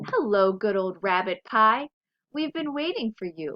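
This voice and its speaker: A woman puts on a character voice, fairly high in pitch. She keeps a moderate pace. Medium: read story.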